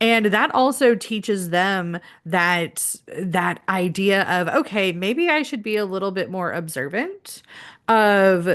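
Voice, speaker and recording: In a quiet background, a woman with a medium pitch and a normal speaking voice talks at a fairly slow pace with ordinary pitch variation. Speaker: spiritual healing live stream host. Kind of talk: casual chat. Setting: live stream.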